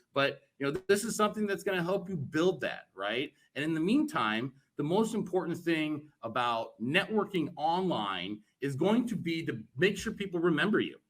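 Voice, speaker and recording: Loud speech at a moderate pace with very wide pitch swings. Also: man, high pitch for a man. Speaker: cannabis networking group co-founder. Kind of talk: virtual event presentation. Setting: virtual event talk. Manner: boisterous.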